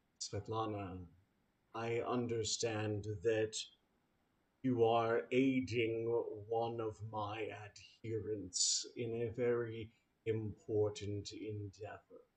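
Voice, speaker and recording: Putting on a character voice, a man talks at a very slow pace and medium pitch with long, frequent pauses. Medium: actual play. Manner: calm, stately.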